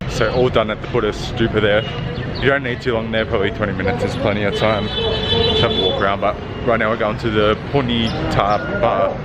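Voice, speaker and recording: Over background music and audible room echo, a man speaks at a medium pitch and a fairly quick pace, his intonation monotone and flat, his loudness very even. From Australia. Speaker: travel vlogger. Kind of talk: vlog narration while walking. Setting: outdoors. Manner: casual, hesitant.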